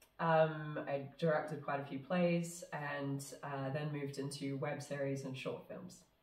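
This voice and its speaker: Noticeable background noise runs under a woman with a very deep, low pitch. She talks at a fairly slow pace with monotone, flat intonation and hardly any pauses. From New Zealand. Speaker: film director. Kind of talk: casual interview chat. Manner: halting, many fillers.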